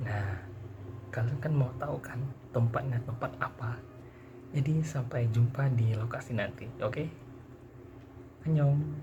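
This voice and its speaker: A soft-spoken man at medium pitch and a fairly slow pace, with ordinary pitch variation and long, frequent pauses, amid audible room echo and noticeable background noise. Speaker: university student. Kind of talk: vlog.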